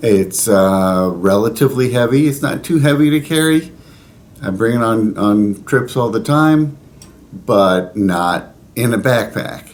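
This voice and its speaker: An ordinary speaking voice from a man at medium pitch, with lively intonation and a fairly slow pace. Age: 60s. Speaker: pilgrim vlogger. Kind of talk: casual talk to camera. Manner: conversational with fillers.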